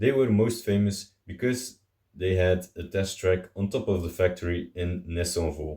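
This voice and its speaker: A man with a very deep, low, dark and mellow voice speaks at a fairly slow pace, somewhat breathy, with ordinary pitch variation. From Belgium. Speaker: car video host. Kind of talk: informative talk to camera. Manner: casual with some hesitations.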